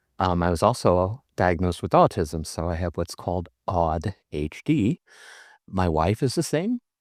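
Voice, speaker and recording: On a very clean recording with a silent background and a dry, close sound with no echo, a man with an American accent speaks fairly slowly at a very deep, low pitch with ordinary pitch variation. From Iowa, US Midwest. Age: 60s. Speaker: guest in recovery. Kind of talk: casual group chat.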